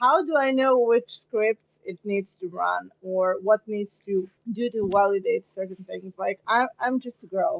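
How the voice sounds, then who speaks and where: A woman talks at a fairly slow pace in a medium pitch with ordinary pitch variation. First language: Serbian. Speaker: marketer and podcast co-host. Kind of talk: casual chat.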